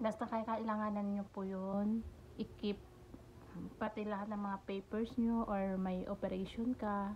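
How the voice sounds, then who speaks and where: A soft-spoken woman's medium-pitched voice, monotone and flat, at a fairly slow pace amid noticeable background noise. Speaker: vlogger, domestic helper. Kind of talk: tutorial-style vlog. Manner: soft-spoken, speaking quietly.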